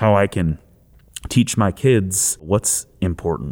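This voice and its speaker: In an American accent, a man speaks fairly slowly at a fairly low pitch with ordinary pitch variation, on a very clean recording with a silent background. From Flint, Michigan area, US Midwest. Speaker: board game designer. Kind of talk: personal testimony interview.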